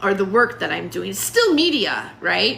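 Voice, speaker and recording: A woman with an American accent speaks at a moderate pace over noticeable background noise. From US West Coast. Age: 60s. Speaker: stand-up comedian and student. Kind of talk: casual livestream monologue. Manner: halting, many fillers.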